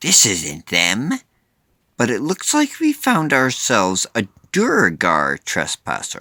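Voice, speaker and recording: The speaker puts on a character voice at a fairly slow pace. The recording is very clean, with a silent background. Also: man, medium pitch for a man. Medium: read story.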